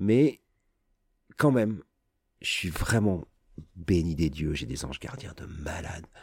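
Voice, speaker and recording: On a very clean recording with a silent background, a man speaks in a very deep, low pitch that is somewhat breathy. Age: 50s. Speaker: radio host. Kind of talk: casual chat. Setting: studio.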